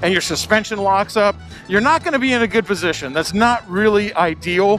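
At a fairly quick pace, a man with a high voice for a man speaks in a dry sound with no echo, faint music in the background. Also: ordinary pitch variation. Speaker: motorcycle builder vlogger. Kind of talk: casual moto vlog commentary. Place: motorbike. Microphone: helmet.

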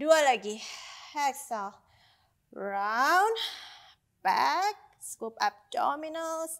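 A woman with a high voice speaks very slowly, leaving long, frequent pauses, and her pitch swings very widely. The background is quiet. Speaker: Pilates instructor. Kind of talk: workout instruction cues. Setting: home studio, video workout. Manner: instructional, steady, encouraging, slightly breathless when the moves get hard. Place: home room. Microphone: lapel.

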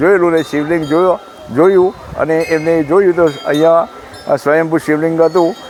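Amid noticeable background noise, a man speaks at a high pitch with fairly even intonation. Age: 60s. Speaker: temple trustee. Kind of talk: interview. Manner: halting.

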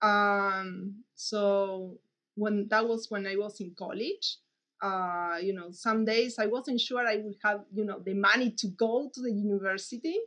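A woman talks at a fairly slow pace with fairly even intonation. The background is quiet. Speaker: mathematician. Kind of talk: interview monologue. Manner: halting, hesitant. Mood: warm, reflective. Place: office. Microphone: webcam.

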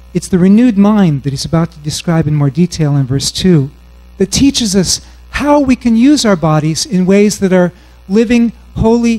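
A man with a high pitch and a dark, mellow tone speaks at a moderate pace with lively intonation. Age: 40s. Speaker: bible scholar and conference speaker; conference speaker. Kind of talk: sermon. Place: hall. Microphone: handheld.

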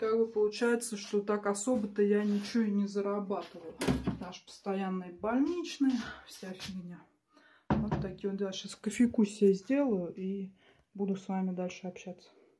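A woman talks at a moderate pace with ordinary pitch variation. Background noise is noticeable. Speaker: home vlogger. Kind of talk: casual vlog chat. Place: home room. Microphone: phone near.

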